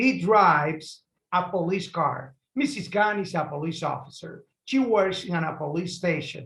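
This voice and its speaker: This man has a Spanish accent and a high pitch. His tone is bright and sharp, and he speaks at a fairly slow pace. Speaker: English teacher. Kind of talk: lesson reading aloud for repetition.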